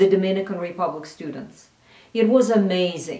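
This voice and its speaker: Through audible room echo and noticeable background noise, a woman speaks with ordinary pitch variation. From Russia. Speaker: cultural analyst. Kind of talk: recorded address.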